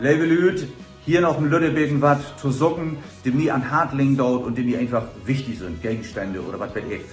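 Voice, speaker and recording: Over music in the background, a speaker with a Low German accent talks at a fairly quick pace with ordinary pitch variation. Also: man. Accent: Low German (Platt) speaker. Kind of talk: casual comedy talk to camera.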